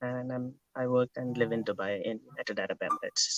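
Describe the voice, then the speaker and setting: Speaking with an Indian accent at a moderate pace, a man is heard in a dry, close sound with no echo. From India, Kerala. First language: Malayalam. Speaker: interview guest. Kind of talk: interview.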